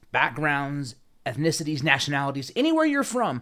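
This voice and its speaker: A man with an unremarkable speaking voice, fairly high pitch, lively intonation and a moderate pace, on a very clean recording with a silent background. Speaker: podcast host. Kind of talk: casual chat.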